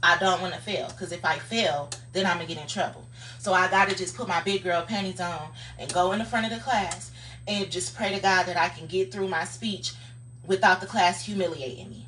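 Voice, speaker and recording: Amid noticeable background noise, a woman speaks at a moderate pace with a fairly low pitch. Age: 30s. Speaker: social media livestreamer. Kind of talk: casual motivational livestream monologue. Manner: animated; occasionally fumbles words.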